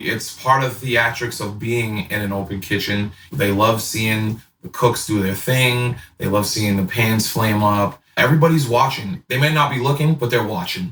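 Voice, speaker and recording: In a plain, everyday voice, a man with an American accent talks at a moderate pace and medium pitch, with ordinary pitch variation and hardly any pauses. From Boston. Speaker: chef. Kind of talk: casual interview chat.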